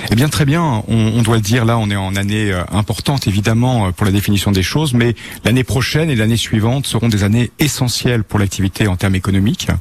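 With an unremarkable speaking voice, a man talks at a fairly quick pace in a fairly low pitch with ordinary pitch variation. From Normandy, France (Bayeux). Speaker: tour guide. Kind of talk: radio interview. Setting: live outside broadcast.

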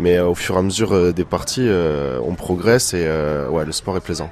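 A man speaks at a very deep, low pitch as noticeable background noise runs underneath. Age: 20s. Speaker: amateur racquetball player. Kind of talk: interview. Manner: hesitant, many fillers.

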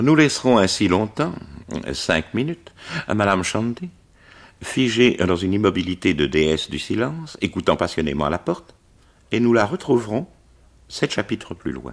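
A man's fairly low voice with very wide pitch swings, a moderate pace and long, frequent pauses. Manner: measured, formal, clear diction, an explanatory storyteller.

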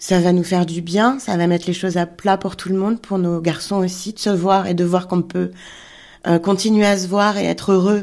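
Her voice has a dark, mellow tone at a medium pitch for a woman, with monotone, flat intonation. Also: very clean recording, silent background. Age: 40s. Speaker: illustrator. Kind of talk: personal testimony.

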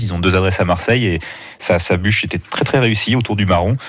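The speaker goes at a very fast pace with ordinary pitch variation over noticeable background noise. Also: man. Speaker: food critic and journalist. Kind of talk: radio interview. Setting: radio studio. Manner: hesitant, repeats words.

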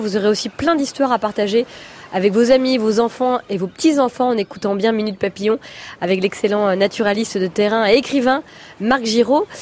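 At a moderate pace, a woman talks with a fairly high pitch and ordinary pitch variation over noticeable background noise. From Brittany. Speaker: radio host. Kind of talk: radio interview.

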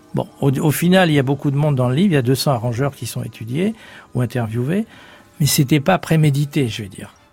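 A man's fairly high voice at a fairly quick pace, ordinary pitch variation, music in the background. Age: 70s. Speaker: author. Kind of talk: interview. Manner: halting.

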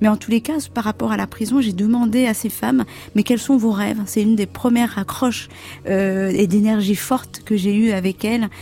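Pacing herself moderately, a woman with an ordinary speaking voice talks at a fairly high pitch and ordinary pitch variation. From Comoros. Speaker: fashion designer. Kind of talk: radio interview.

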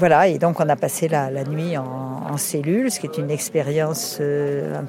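Against noticeable background noise, a woman speaks at a fairly slow pace with ordinary pitch variation. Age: 70s. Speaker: environmental activist. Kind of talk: testimony. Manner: halting.

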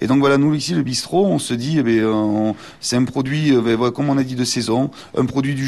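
His voice rests at a medium pitch, and its pitch varies in an ordinary way. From Béarn, near Pau (southwest France). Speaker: chef. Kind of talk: radio interview. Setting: on location in restaurant. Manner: hesitant, many fillers.

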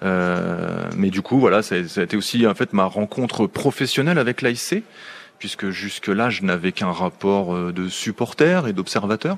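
This man's fairly low voice moves fairly slowly, with ordinary variation in pitch. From southern Picardy, France (between Clermont and Chantilly). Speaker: sports commentator and journalist. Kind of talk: radio interview. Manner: hesitant, with frequent fillers and repetitions.

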